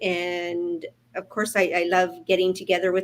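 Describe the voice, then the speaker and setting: A woman with a Canadian accent at medium pitch, flat and monotone. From Prince George, British Columbia, Canada. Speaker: online entrepreneur. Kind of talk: casual chat.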